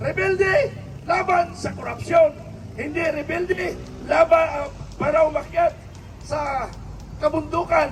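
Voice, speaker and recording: This man talks at a moderate pace with an extremely high pitch. Noticeable background noise runs behind him. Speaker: political commentator. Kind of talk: political speech to viewers. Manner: not raising voice, for clarity.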